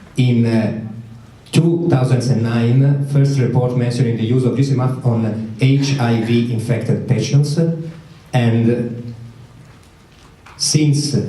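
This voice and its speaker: With an Italian accent, a man at a medium pitch speaks very slowly with long, frequent pauses, very even loudness and fairly even intonation, amid audible room echo. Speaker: medical researcher. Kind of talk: conference talk. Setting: conference with audience. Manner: halting, many fillers.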